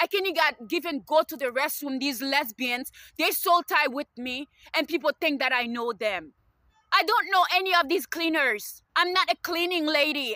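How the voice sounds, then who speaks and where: Bright and sharp in tone, a woman projects a raised voice. Her pitch is high and her intonation lively. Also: dry, close sound with no echo. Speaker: student and video blogger. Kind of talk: personal rant to camera. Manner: halting with many fillers; agitated.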